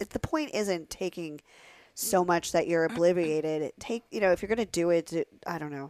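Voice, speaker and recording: A woman with an American accent and an ordinary speaking voice, fairly low in pitch with ordinary variation, at a moderate pace in a dry, close sound with no echo. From Pennsylvania. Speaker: adult performer. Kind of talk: casual chat.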